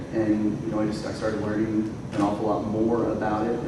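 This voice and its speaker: Medium-pitched male speech at a fairly quick pace, with audible room echo and noticeable background noise. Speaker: panelist. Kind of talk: panel discussion. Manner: loud.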